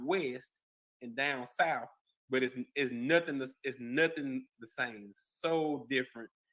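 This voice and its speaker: Speaking fairly slowly with a Mississippi accent, a man has a fairly high pitch and a bright, sharp tone. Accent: country twang, Mississippi. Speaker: podcast host. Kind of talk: casual interview chat.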